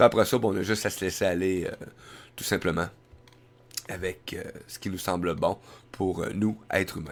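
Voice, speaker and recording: A man's very deep, low voice with a Quebec accent, at a moderate pace with fairly even intonation, long, frequent pauses and big swings in loudness, on a very clean recording with a silent background. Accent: Québécois French. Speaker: web radio host. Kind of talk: live web radio monologue. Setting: live stream with headset and mic. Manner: hesitant, many fillers.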